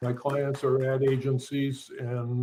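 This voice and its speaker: A man speaks at medium pitch in a somewhat breathy voice with monotone, flat intonation. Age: 70s. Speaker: illustrator. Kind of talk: self-introduction at panel. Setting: virtual metaverse event stage. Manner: halting.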